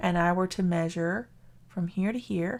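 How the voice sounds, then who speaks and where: Speaking very slowly in a Southern US accent, a woman keeps a medium pitch with ordinary variation. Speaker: math teacher. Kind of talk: lecture.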